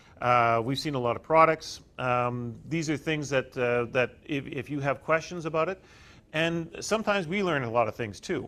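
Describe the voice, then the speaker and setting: A man's bright, sharp voice, fairly high in pitch, with a Canadian accent. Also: ordinary pitch variation. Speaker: utility company representative. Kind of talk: workshop presentation. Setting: workshop with live audience. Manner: fast; halting.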